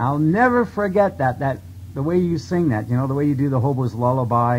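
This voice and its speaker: Somewhat breathy male voice of medium pitch with a Canadian accent, lively intonation and a fairly quick pace. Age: 40s. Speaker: radio interviewer and musician. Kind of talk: interview. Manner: halting.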